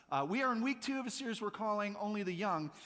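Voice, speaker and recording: Raised and projected, a man's high voice comes across with an animated tone. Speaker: youth pastor. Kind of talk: sermon. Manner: fast.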